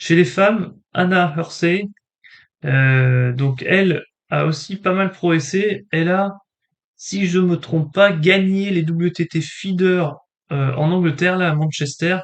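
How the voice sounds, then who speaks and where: At a very slow pace, a man talks in a high pitch with ordinary pitch variation. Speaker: table tennis YouTuber. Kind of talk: casual commentary on rankings. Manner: hesitant, many fillers.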